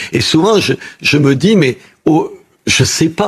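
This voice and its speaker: The voice carries a somewhat breathy quality. Its intonation moves in a lively way. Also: man. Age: 70s. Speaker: television debate guest. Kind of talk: talk show conversation. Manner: halting.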